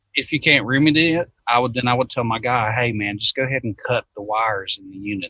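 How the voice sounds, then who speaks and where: In a Southern US accent, the speaker talks at a very fast pace with hardly any pauses, ordinary pitch variation and big swings in loudness. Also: man, medium pitch for a man. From US South. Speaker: HVAC technician. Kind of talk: casual chat.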